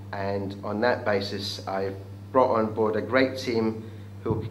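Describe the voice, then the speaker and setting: This man talks at a fairly slow pace. His voice carries audible room echo over noticeable background noise. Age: 60s. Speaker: business event organiser. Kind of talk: interview pitch. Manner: hesitant with fillers.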